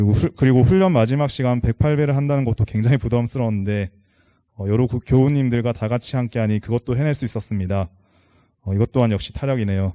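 A man's medium-pitched voice at a very fast pace, dark and mellow in tone, with ordinary pitch variation, a quiet background and a dry, close sound with no echo. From South Korea, Changwon. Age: 30s. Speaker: lay member of a temple, office worker. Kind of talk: prepared talk to congregation. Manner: halting, many fillers.

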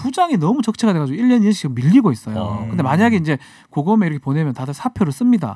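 A man talks at a very fast pace with a fairly high pitch and very wide pitch swings, his tone dark and mellow. The sound is dry with no echo, over a quiet background. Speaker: lawyer and legal commentator. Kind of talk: radio current affairs chat. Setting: studio. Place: studio. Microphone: studio mic.

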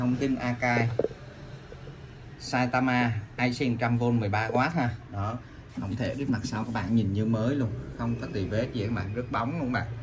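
Speaking at a moderate pace with fairly even intonation, a man with a medium-pitched voice is heard over faint background noise.

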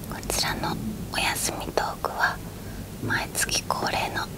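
Loud background noise runs under the recording. A woman speaks at a fairly slow pace. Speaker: ASMR creator. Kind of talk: ASMR bedtime chat. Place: home room.

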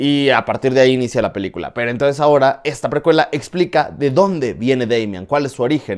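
A man speaks at a medium pitch, very fast and with hardly any pauses. His pitch varies in an ordinary way against a quiet background. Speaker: film reviewer YouTuber. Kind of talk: film review monologue. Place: home room. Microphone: lapel.

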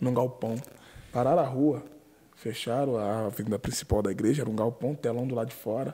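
A man with a medium pitch and a dark, mellow tone sounds somewhat breathy. He keeps a moderate pace and fairly even intonation. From Brazil. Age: 20s. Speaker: podcast co-host and preacher. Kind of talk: casual interview. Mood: warm, reminiscing. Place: studio. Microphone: studio mic.

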